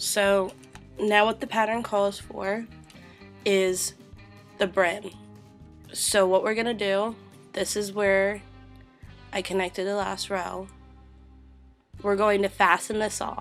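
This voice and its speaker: Over music in the background, a woman speaks at a very slow pace in a monotone, flat medium pitch, with long, frequent pauses. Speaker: crochet tutorial host. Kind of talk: craft tutorial narration.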